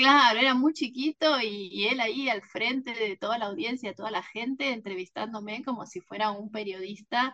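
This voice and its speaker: At a moderate pace and with hardly any pauses, a woman speaks in a normal speaking voice at a fairly high pitch. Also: ordinary pitch variation. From Argentina, Mar del Plata. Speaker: novelist. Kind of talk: interview.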